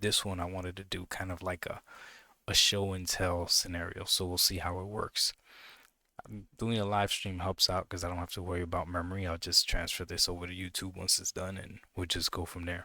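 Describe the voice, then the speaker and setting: A quiet, bright and sharp male voice, very deep and low, flat and monotone at a fairly quick pace, on a very clean recording with a silent background. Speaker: gaming streamer. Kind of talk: live stream chat. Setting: home at night, live stream. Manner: quiet, low voice; casual, with fillers and repetitions.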